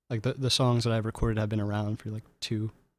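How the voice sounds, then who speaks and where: A soft-spoken man talks at a very fast pace and a medium pitch. The recording is very clean, with a silent background. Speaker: singer-songwriter. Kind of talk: interview.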